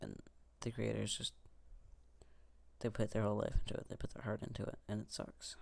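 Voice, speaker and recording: A man talks at a fairly quick pace. He leaves long, frequent pauses. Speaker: gaming youtuber. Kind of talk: let's play commentary. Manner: monotone; calm.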